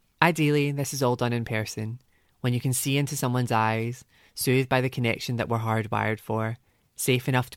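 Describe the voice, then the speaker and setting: A man with a Glaswegian accent talks at a very fast pace, his medium pitch held in a monotone, flat intonation. The recording is very clean, with a silent background. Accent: Glaswegian lilt. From Scotland, Glasgow. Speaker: essayist. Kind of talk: personal essay reading.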